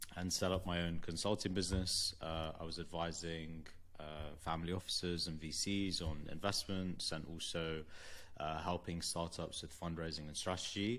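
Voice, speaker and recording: A man's very deep, low voice with a bright, sharp tone and a London accent, at a moderate pace. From London, England. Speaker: venture capital investor. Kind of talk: interview.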